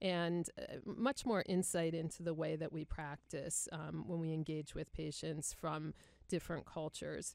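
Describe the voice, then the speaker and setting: Fairly even intonation with vocal fry, in an American accent at a fairly slow pace, on a very clean recording with a silent background. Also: woman, very deep, low pitch for a woman. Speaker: podcast host, nurse executive. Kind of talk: podcast hosting, interview.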